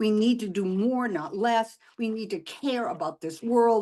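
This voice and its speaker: A woman with an American accent talks in an animated tone at a medium pitch, with lively intonation. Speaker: former ambassador. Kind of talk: webinar discussion. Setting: video call.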